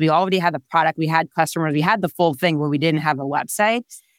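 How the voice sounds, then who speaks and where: Speaking with an Israeli accent, a woman is heard on a very clean recording with a silent background. The sound is dry and close, with no echo. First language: Hebrew. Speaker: startup founder and CEO. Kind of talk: casual interview.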